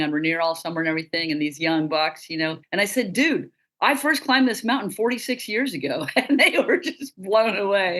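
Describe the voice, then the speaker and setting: In an American accent, a woman speaks at a medium pitch with very wide pitch swings. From US Pacific Northwest, Western Washington. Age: 60s. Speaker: mountain guide and doctor. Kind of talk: webinar panel talk. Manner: casual, lively.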